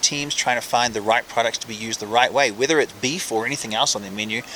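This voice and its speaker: A man with a New Zealand accent at a very fast pace, his intonation fairly even, amid noticeable background noise. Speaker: professional chef. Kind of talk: interview.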